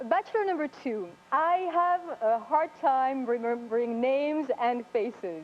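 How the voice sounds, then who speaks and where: A high-pitched woman in a French accent at a fairly slow pace, with very wide pitch swings and noticeable background noise. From France. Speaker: dating show contestant. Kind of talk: game show questions.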